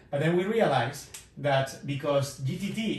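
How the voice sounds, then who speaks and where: A man's fairly high voice with ordinary pitch variation, and audible room echo around it. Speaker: physics professor. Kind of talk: lecture. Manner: conversational, hesitant with fillers. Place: classroom. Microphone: camera far.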